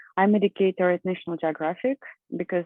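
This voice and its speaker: A woman talks at a fairly low pitch, keeping her intonation fairly even. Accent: Russian. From Russia. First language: Russian. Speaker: professor and environmental scientist. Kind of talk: conference presentation.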